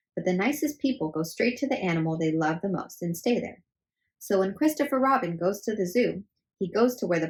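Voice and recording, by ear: Someone reads aloud in a natural voice with lively intonation over a quiet background.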